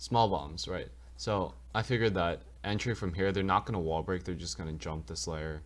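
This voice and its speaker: A man with a very deep, low voice and vocal fry swings his pitch very widely. The recording is very clean, with a silent background. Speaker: gaming youtuber. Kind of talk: tutorial. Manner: fast; casual, with filler words.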